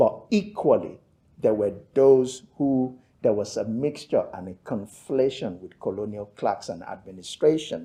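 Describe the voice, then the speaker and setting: With a Yoruba accent, a man at medium pitch uses a dark, mellow tone, lively intonation and big swings in loudness, speaking at a fairly slow pace. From Nigeria (Yoruba). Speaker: theologian and author. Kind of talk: lecture. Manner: measured, with hesitations.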